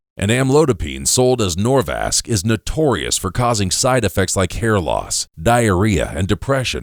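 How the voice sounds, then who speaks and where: At a moderate pace with hardly any pauses, a man with a fairly low pitch and vocal fry swings very widely in pitch while holding very even loudness, in a very clean recording with a silent background. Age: 60s. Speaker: spokesperson for a health product. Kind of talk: scripted sales pitch.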